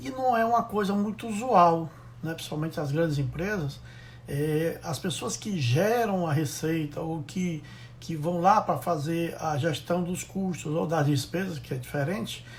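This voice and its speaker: There is audible room echo around this voice. A man talks fairly slowly at a high pitch. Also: ordinary pitch variation. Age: 60s. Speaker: logistics consultant. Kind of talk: live stream talk. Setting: Instagram live. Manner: halting.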